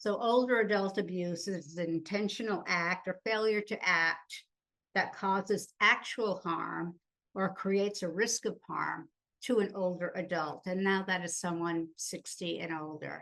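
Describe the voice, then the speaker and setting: A woman speaks at a fairly slow pace in an ordinary speaking voice of medium pitch. Her intonation is fairly even, and the background is quiet. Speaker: conference presenter on abuse. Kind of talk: conference presentation.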